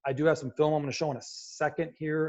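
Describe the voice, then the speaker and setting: This man's voice has a dark, mellow tone. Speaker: football coach. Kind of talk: lecture. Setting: video call. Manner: fast.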